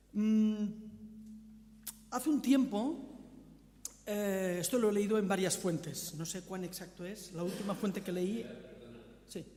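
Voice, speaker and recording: With a strong Catalan accent and a high pitch, a man talks at a fairly slow pace with long, frequent pauses in a room with audible echo. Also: ordinary pitch variation. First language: Catalan (speaking Spanish). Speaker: visiting preacher. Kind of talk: sermon. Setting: church.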